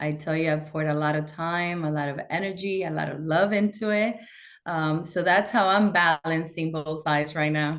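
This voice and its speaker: The speaker has a Spanish accent and a moderate pace. Intonation stays fairly even. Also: woman, fairly low pitch for a woman. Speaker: bank executive. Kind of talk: interview.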